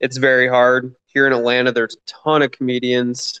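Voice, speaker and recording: With an American accent, a man speaks at a medium pitch in a dry, close sound with no echo. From Michigan. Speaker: stand-up comedian. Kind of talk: casual interview chat.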